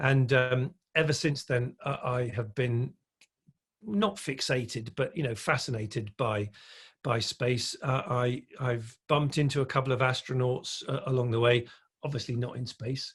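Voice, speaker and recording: A man's somewhat breathy, medium-pitched voice at a moderate pace, with ordinary pitch variation over a quiet background. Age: 60s. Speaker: electric vehicle industry speaker and consultant. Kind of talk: podcast interview. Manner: hesitant, many fillers and repetitions.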